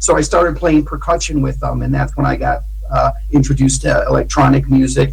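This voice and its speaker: A man talks at a fairly quick pace with an American accent. There is noticeable background noise and audible room echo. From Ohio, US Midwest (Cleveland). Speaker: musician and producer. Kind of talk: radio interview. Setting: remote call.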